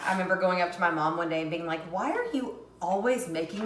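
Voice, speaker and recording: Fairly quick speech from a woman at a medium pitch, amid noticeable background noise and audible room echo. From US South, Tennessee. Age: 20s. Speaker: cooking vlogger. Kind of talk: casual cooking tutorial.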